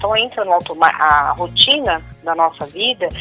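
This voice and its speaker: A woman talks with ordinary pitch variation at a medium pitch. Music plays in the background. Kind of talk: interview answer.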